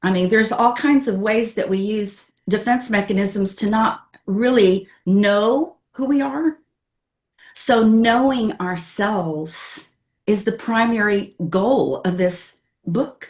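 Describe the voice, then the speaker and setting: Very slow pace with a somewhat breathy voice and ordinary pitch variation. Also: woman, fairly high pitch for a woman. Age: 70s. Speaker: astrologer and author. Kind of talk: interview conversation.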